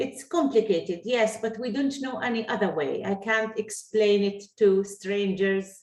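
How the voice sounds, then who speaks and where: In an Arabic accent, a woman speaks at a fairly slow pace with a fairly high pitch. She leaves hardly any pauses. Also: ordinary pitch variation. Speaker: Arabic teacher. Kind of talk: online language lesson. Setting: video call.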